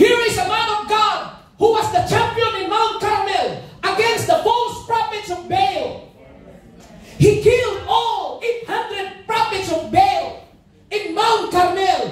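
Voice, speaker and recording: An extremely high-pitched man at a very slow pace, with audible room echo around him. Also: fairly even intonation. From Philippines. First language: Tagalog. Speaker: pastor. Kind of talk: sermon with Taglish code-switching and congregation call-and-response. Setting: church service with live congregation. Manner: impassioned revival-style preaching, punctuating lines with hallelujah; repeatedly urges the congregation to shout and respond aloud. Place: church.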